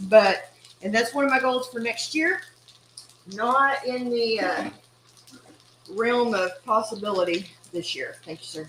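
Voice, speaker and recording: A woman with an East Texas accent and a fairly high pitch talks at a fairly slow pace with lively intonation, long, frequent pauses and big swings in loudness. Noticeable background noise can be heard. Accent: East Texas Southern US. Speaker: cooking channel host. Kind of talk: casual cooking livestream.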